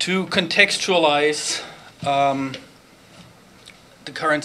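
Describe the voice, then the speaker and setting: With a German accent and fairly even intonation, a man speaks at a fairly high pitch amid noticeable background noise and audible room echo. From Germany. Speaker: professor. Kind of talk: conference talk. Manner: hesitant, many fillers.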